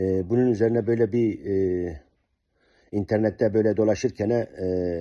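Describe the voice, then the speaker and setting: With a dark, mellow tone and fairly low pitch, a man speaks at a fairly slow pace, his loudness very even and his intonation fairly even, against a quiet background. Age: 60s. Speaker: diet program client. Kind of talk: testimony. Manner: halting, many fillers.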